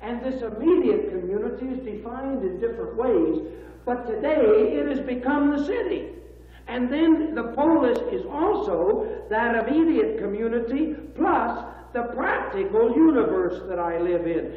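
The pace is moderate. Room echo is audible throughout. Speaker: institute dean lecturing. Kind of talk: lecture. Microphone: old recording.

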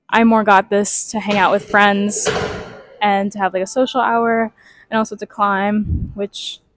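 A woman talks in a monotone, flat intonation, with dry sound, no echo, and a quiet background. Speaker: vlogger. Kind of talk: casual vlog chat. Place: gym. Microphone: lapel.

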